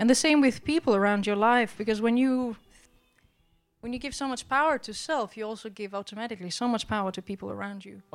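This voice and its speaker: Against music in the background, a woman talks at a moderate pace and fairly high pitch with ordinary pitch variation and big swings in loudness. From Albania. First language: Albanian (speaking Danish). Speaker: preacher. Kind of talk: sermon.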